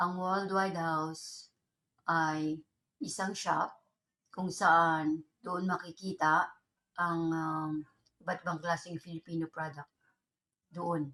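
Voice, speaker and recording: Fairly low-pitched woman, monotone and flat in intonation, very slow, with long, frequent pauses. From Philippines. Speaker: vlogger. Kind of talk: casual vlog complaint.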